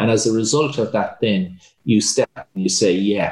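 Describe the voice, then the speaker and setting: A man speaks at a moderate pace with an Irish accent. His pitch sits in the middle range. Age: 50s. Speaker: entrepreneur and hotelier. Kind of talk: interview.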